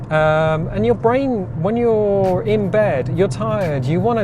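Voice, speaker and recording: Music sits in the background and the room echo is audible. The speaker, in an Oxford accent, talks fairly slowly with very wide pitch swings. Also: man. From Oxfordshire, southern England. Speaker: vlogger. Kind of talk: casual chat. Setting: in a car.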